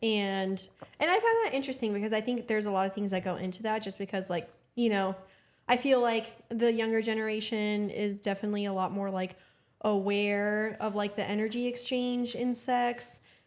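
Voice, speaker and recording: Recorded very cleanly with a silent background, a woman with a normal speaking voice and a fairly high pitch talks at a fairly quick pace with fairly even intonation. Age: 30s. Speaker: podcast host. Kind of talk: casual chat.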